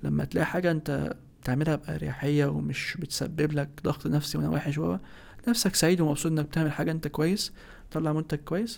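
Over a silent background in a very clean recording, a man speaks fairly quickly with fairly high pitch, ordinary pitch variation, and an ordinary speaking voice. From Egypt. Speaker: architect. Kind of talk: interview.

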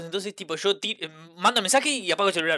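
Using a raised, projected voice, a man speaks at a high pitch for a man with ordinary pitch variation. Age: 20s. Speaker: podcast co-host. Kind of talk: casual chat.

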